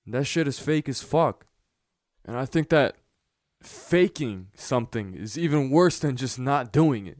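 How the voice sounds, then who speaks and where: With an ordinary speaking voice, a man at a fairly high pitch talks at a fairly slow pace, his lively intonation and big swings in loudness captured in a dry, close sound with no echo. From United States, Montenegrin immigrant parents. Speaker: podcast host. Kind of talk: solo podcast monologue.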